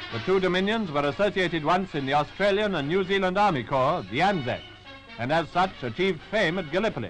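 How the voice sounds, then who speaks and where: With music in the background, a man talks at a very fast pace in a high voice with lively intonation. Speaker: newsreel narrator. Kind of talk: wartime newsreel commentary.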